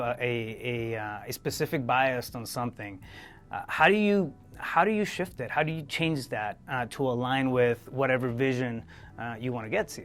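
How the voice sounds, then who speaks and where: A man with a non-native accent speaks at a medium pitch while music plays in the background. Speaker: podcast host. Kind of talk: interview. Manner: halting, many fillers and repetitions.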